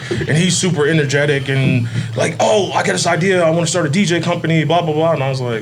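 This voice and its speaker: A man with a fairly high pitch speaks at a very fast pace with ordinary pitch variation. There is audible room echo and noticeable background noise. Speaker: nightlife DJ company owner. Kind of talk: casual chat. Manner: laid-back.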